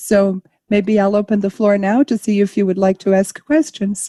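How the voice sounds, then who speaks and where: A dark, mellow tone, somewhat breathy, comes at a moderate pace in a dry, close sound with no echo. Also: woman. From Brazil. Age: 60s. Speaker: panel moderator, arts manager. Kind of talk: panel discussion. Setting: live stream.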